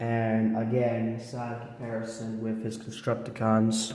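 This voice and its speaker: Through noticeable background noise and audible room echo, a man speaks very slowly at medium pitch in a monotone, flat intonation. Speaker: toy reviewer. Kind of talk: casual product review. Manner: casual, with fillers.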